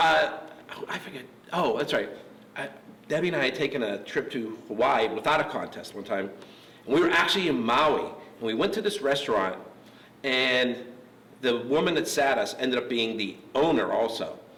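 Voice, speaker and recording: In an American accent, a man with a medium-pitched voice and lively intonation speaks at a moderate pace with long, frequent pauses, amid noticeable background noise and audible room echo. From Pittsburgh, US. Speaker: interviewer. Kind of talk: interview. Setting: gym.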